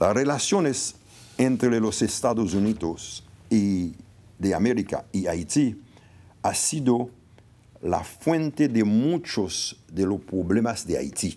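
A man's dark, mellow tone at a very slow pace, broken by long, frequent pauses. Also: lively intonation. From Haiti. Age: 70s. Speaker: former diplomat and political consultant; guest. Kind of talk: formal speech. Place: hall. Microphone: podium.

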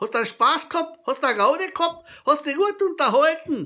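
A raised, projected voice with a bright, sharp tone comes through in a Carinthian accent against a quiet background. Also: man. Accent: Carinthian Austrian dialect. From Carinthia, Austria. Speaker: comedy storyteller. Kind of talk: humorous joke telling to camera. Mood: jovial, humorous. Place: kitchen. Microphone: webcam.

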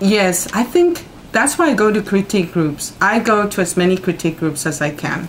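A woman speaks with light noise in the background. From Mexico City. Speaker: poet; interviewee. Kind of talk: interview; interview answer. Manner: halting. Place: home room. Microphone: camera far.

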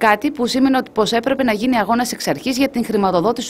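Through noticeable background noise, a woman speaks with a fairly high pitch. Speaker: news reporter. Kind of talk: news report narration.

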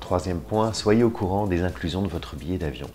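With clear music in the background, a man talks at a fairly quick pace in a low pitch.

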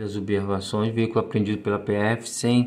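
A man is speaking. His voice has a medium pitch. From Brazil. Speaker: YouTube channel host reviewing auction lots. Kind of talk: casual tutorial narration. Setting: screen-share narration of auction site. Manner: breathless, running items together without pauses, repeating words. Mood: warm, religious farewell. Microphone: phone near.

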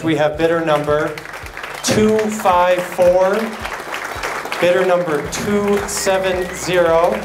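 Against noticeable background noise, a man with a high pitch talks at a very slow pace, using long, frequent pauses and fairly even intonation. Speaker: charity auctioneer. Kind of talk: charity auction bid calling. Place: hall. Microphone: handheld.

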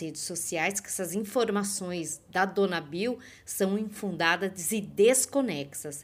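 A woman speaks at a very slow pace. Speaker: celebrity news youtuber. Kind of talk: celebrity gossip commentary.

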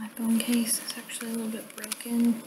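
Over loud background noise, a soft-spoken woman talks with a fairly high pitch. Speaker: ASMR creator. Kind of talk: ASMR soft-spoken talk to camera. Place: home room. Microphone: webcam.

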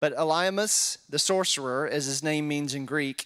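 The voice moves through ordinary pitch variation against a quiet background. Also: man. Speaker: pastor or Bible teacher. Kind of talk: scripture reading and Bible study teaching. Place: church. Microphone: handheld.

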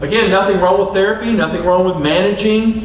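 A high-pitched man speaks with audible room echo. Light background noise sits underneath. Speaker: coach giving a talk. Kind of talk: lecture. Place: stage.

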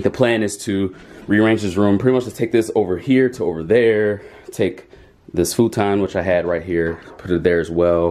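At a moderate pace, a man speaks in a normal speaking voice with a fairly low pitch and ordinary pitch variation. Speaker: vlogger. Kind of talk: casual vlog chat. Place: home room. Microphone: phone near.

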